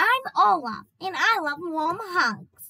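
At a fairly slow pace, the speaker puts on a character voice pitched extremely high. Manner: cheerful, innocent.

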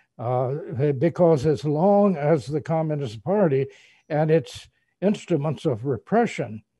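A somewhat breathy man at a fairly slow pace, with ordinary pitch variation, a quiet background, and a dry sound with no echo. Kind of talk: interview answer. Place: office. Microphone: webcam.

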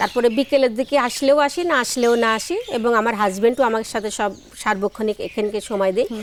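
Noticeable background noise sits behind a woman's fairly high voice. Her pitch varies in an ordinary way. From Bangladesh, Jessore district. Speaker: flower farmer and entrepreneur. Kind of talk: interview.

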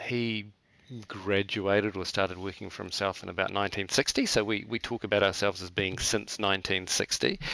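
A man speaks with a New Zealand accent at a fairly low pitch. His tone is bright and sharp, his intonation monotone and flat. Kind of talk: interview. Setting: remote call. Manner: halting.

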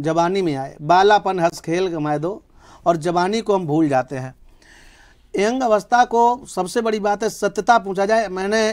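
High-pitched male voice with lively intonation, fairly slow pace and a quiet background. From India, Uttar Pradesh (Mainpuri); Uttar Pradesh, India. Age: 30s. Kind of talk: interview. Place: studio. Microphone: lapel.

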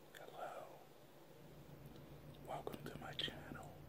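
A man speaks over loud background noise. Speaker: food video creator (mukbang, food reviews, ASMR). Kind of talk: ASMR eating video, quiet talk to camera. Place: home room. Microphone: webcam.

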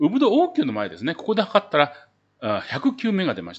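With faint music in the background, a man speaks in very wide pitch swings. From Japan. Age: old. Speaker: travel YouTuber; travel vlogger. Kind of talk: casual tutorial video; casual explanatory vlog talk. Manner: filler-heavy, conversational. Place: home room.

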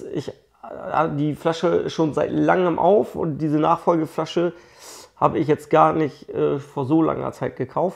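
A man speaks with vocal fry at a fairly high pitch. His intonation stays fairly even. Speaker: whisky blogger. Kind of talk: casual video review, whisky tasting. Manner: casual, chatty.

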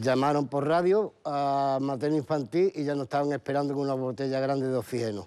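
With hardly any pauses, a man speaks at a fairly quick pace in a fairly high, dark, mellow voice with ordinary pitch variation. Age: 50s. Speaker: bereaved father; guest. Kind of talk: TV interview testimony. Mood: sorrowful, emotional recounting. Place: studio.

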